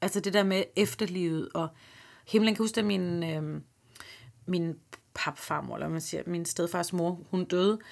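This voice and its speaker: A woman with a fairly low pitch speaks at a fairly slow pace with fairly even intonation and long, frequent pauses, on a very clean recording with a silent background. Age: 30s. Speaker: comedian and podcast host. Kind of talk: interview conversation.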